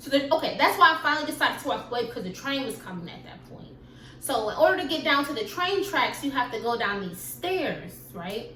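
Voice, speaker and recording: A woman speaks in a raised, projected voice at a high pitch, with very wide pitch swings and big jumps in loudness. Her delivery is fairly quick and animated, with audible room echo and noticeable background noise. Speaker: YouTuber. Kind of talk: storytime vlog. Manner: fast.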